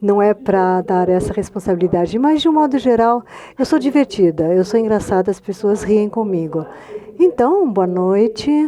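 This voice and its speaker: A woman's medium-pitched voice in a Spanish accent, lively intonation and moderate pace over noticeable background noise. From Argentina. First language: Spanish (speaking Portuguese). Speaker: novelist. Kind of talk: panel discussion through an interpreter.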